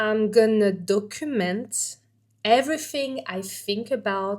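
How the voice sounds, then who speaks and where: A woman speaks with a French accent at a fairly high pitch. The recording is very clean, with a silent background. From France. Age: 40s. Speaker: vlogger. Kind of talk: personal vlog talk to camera. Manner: animated; halting.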